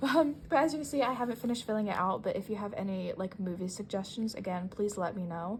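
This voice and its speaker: Somewhat breathy, a woman at medium pitch speaks at a fairly quick pace with ordinary pitch variation. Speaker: artist and planner YouTuber. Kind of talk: casual show-and-tell vlog. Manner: rambling, casual with many fillers.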